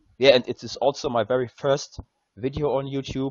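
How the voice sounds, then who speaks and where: A man with a German accent. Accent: German accent, noticeable. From Germany. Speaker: gaming content creator. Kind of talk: tutorial. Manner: halting, many fillers.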